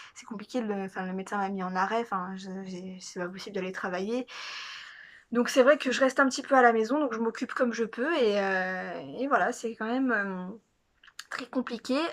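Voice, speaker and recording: Big swings in loudness mark this woman's speech, which has a fairly high pitch and ordinary pitch variation. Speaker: vlogger. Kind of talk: casual vlog monologue. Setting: at home. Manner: fast; hesitant, many fillers.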